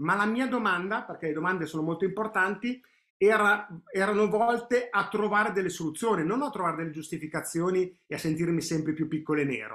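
In a bright, sharp tone, a man speaks at a fairly quick pace with a high pitch and ordinary pitch variation. The background is quiet. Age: 50s. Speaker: personal growth coach. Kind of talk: online training webinar. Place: home room. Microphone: webcam.

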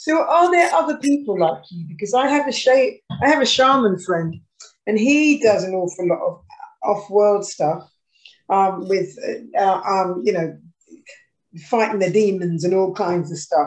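With a British accent, a woman speaks at a fairly slow pace. Her pitch swings very widely, broken by long, frequent pauses. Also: medium pitch for a woman. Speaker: former pop singer and charity worker. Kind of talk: casual chat.

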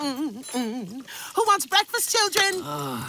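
A female-sounding voice puts on a character voice, pitched high. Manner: warm, bossy and caring.

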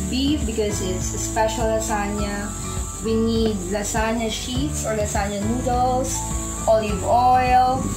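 A woman talks at a very slow pace. Clear music plays in the background. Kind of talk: cooking tutorial. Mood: cheerful, laughing. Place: home room.

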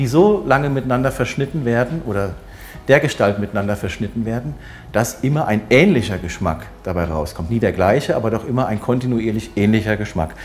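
A man at a moderate pace with faint music in the background. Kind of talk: explanatory interview talk. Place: shop. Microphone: lapel.

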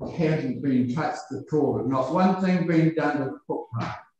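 A man's fairly slow speech with ordinary pitch variation, in strong room echo. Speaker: member of the public addressing council. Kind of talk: public submission speech. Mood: earnest, complaining. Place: meeting room.

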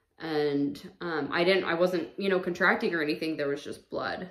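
A woman's fairly low voice with fairly even intonation, audible room echo, and a quiet background. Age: 30s. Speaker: vlogger. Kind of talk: personal testimony. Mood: calm, reflective about loss. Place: home room. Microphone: camera far.

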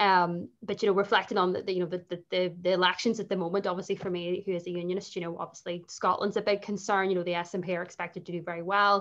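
A woman with a Northern Irish accent speaks at a very fast pace with hardly any pauses. Her medium pitch holds a monotone, flat intonation. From Northern Ireland. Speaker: writer and lawyer. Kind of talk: panel discussion. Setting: live online video call.

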